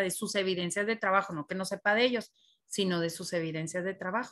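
Intonation stays fairly even at a fairly quick pace. The background is quiet. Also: woman. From northern Mexico, Chihuahua. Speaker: preschool teacher, lecturer. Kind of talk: online class lecture. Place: kitchen. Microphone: webcam.

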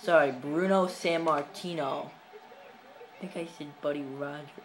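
Spoken at a fairly slow pace, the clip has light background noise. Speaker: gamer vlogger. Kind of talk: casual gameplay commentary. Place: home room. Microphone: phone near.

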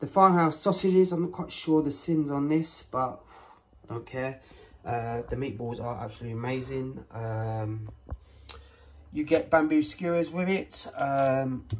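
The speech moves at a fairly slow pace with ordinary pitch variation over light background noise. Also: man. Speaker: home vlogger. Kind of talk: casual haul vlog chat. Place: kitchen. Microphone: phone near.

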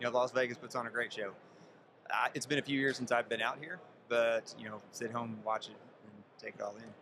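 Fairly quick male speech with fairly even intonation and long, frequent pauses, a dry sound with no echo, plus noticeable background noise. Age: 40s. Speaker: farmer, reality show contestant. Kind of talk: interview. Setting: event in Las Vegas. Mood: relaxed, friendly storytelling. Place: hall. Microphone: studio mic.

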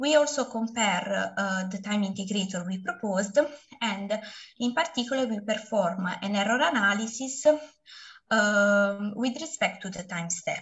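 A woman speaks at a moderate pace, and the background is quiet. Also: lively intonation. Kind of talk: lecture. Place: home room. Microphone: webcam.

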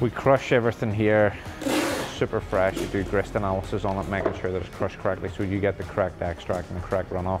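Clear music plays behind a man talking fairly quickly at a fairly low pitch. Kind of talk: tour commentary. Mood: cheerful, jokey. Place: factory.

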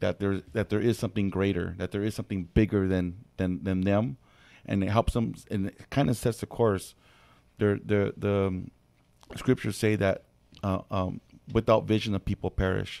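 Speaking with an American accent and long, frequent pauses, a man with a fairly low pitch and dark, mellow tone is captured in a dry, close sound with no echo. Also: fairly even intonation, moderate pace. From Corona, California. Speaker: pastor. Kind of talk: radio panel discussion.

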